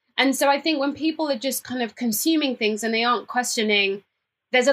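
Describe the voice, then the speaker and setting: Her voice is high in pitch. This woman talks with a British accent. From England, Cambridge, of Ghanaian parents. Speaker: fashion entrepreneur and sustainability campaigner. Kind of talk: interview conversation.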